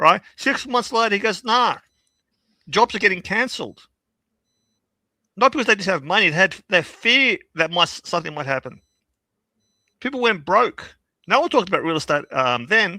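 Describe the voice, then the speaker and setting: On a very clean, dry, close recording with no echo and a silent background, a man with a high pitch projects a raised voice in a bright, sharp, animated tone, swinging very widely in pitch at a moderate pace with long, frequent pauses. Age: 60s. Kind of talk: casual chat.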